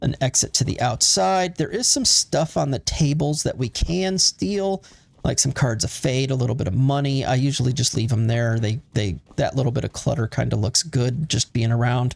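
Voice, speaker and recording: A man with a somewhat breathy medium-pitched voice speaks at a moderate pace with lively intonation, very even loudness and hardly any pauses, the sound dry and close with no echo. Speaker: gaming video creator. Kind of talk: gameplay commentary. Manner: casual, hesitant with fillers.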